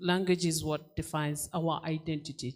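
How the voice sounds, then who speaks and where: A woman with a Kenyan accent, fairly low pitch, fairly slow pace and fairly even intonation. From Kenya, rural Kalenjin area. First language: Kalenjin. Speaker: children's book author. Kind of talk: panel discussion.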